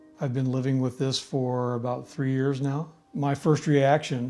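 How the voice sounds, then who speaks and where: This man speaks in a US Midwestern accent at a moderate pace. His medium-pitched voice has a dark, mellow tone and a monotone, flat intonation. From US Midwest, Indiana. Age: 70s. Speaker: cancer patient, military veteran. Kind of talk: patient testimony.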